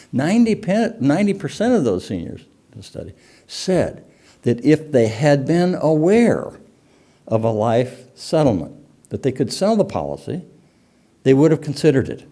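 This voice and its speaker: A man with a fairly high pitch and a dark, mellow tone with vocal fry speaks at a moderate pace, his pitch swinging very widely, with long, frequent pauses, in a very clean recording with a silent background. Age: 70s. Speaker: industry expert speaker. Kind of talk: conference presentation. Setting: stage with audience.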